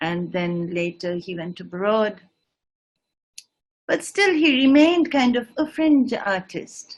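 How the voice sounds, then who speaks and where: Her fairly high voice full of lively intonation, a woman speaks at a very slow pace. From northeast India (Shillong). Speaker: singer and writer. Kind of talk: lecture demonstration. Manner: halting.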